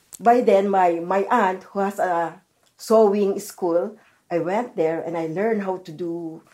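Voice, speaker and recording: A woman with a dark, mellow tone speaks fairly slowly at a medium pitch, with ordinary pitch variation. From Philippines. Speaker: retired garment worker. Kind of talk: interview.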